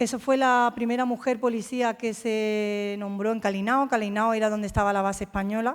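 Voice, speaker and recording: An ordinary speaking voice with fairly even intonation comes through a very clean recording with a silent background. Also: woman. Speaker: military officer. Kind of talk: talk.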